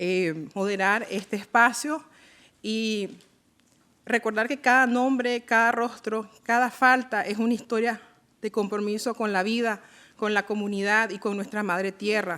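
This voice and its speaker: A woman with a bright, sharp tone and fairly high pitch speaks at a fairly slow pace and fairly even intonation on a very clean recording with a silent background. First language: Miskito (speaking Spanish). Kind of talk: formal event moderation speech. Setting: UN event in Geneva. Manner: hesitant with frequent fillers.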